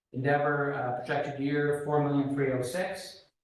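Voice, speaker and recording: Audible room echo surrounds a man as he speaks. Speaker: school finance officer presenting budget. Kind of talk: board meeting financial report. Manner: hesitant fillers (uh).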